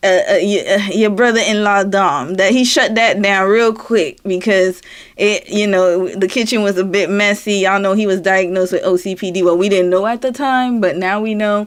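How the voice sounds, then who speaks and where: In a Southern US accent, a woman talks in an animated tone at a moderate pace with hardly any pauses. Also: medium pitch for a woman. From US South, Florida. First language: French. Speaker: live streamer. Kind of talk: casual chat. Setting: live stream.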